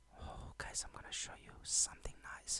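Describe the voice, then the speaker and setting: Quiet speech at a fairly slow pace. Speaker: trading educator. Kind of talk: tutorial. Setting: home at midnight, keeping quiet. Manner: quiet, low volume.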